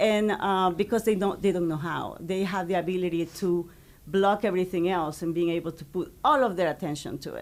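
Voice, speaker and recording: A woman with a Spanish accent at a fairly quick pace, on a very clean recording with a silent background. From Ecuador. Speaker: high school Spanish teacher. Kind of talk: interview.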